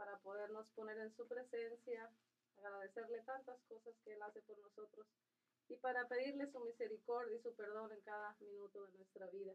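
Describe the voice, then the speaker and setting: Fairly quick delivery and fairly even intonation in a plain, everyday voice. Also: woman. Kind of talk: religious radio talk.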